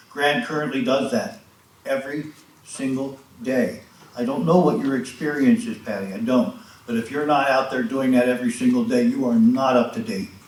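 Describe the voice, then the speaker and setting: The speech moves at a moderate pace with lively intonation. There is audible echo in the room. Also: man, medium pitch for a man. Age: 70s. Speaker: resident speaking at public comment. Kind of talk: public comment at township meeting. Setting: township board meeting. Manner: impassioned.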